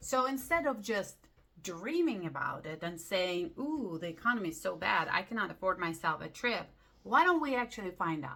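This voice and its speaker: A woman with a non-native accent, moderate pace, bright, sharp, upbeat tone and very wide pitch swings. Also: medium pitch for a woman. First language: not English. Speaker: lifestyle vlogger. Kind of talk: casual talk to camera. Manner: halting.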